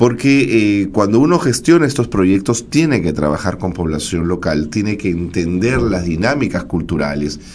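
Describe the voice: With lively intonation and a slightly mellow tone, a man speaks at a low pitch and a moderate pace with few pauses.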